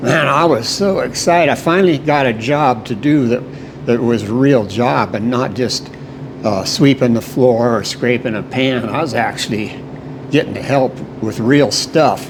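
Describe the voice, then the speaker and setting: A man talks at a moderate pace and medium pitch with ordinary pitch variation, noticeable background noise behind him. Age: 70s. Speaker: baker. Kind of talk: interview, reminiscing. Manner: halting, with fillers and repetitions.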